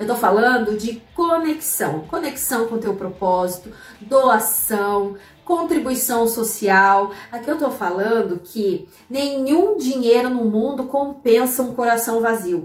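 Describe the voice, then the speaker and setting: A woman's fairly high voice at a very slow pace, with audible room echo and noticeable background noise. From Santa Catarina highlands, southern Brazil (Curitibanos). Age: 30s. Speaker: economist and finance blogger, podcast host. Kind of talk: personal storytelling monologue; motivational talk.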